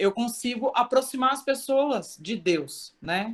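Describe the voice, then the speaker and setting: A woman is speaking. Her voice is loud. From Brazil, São Paulo. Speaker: church member. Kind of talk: testimony. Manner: loud, expressive.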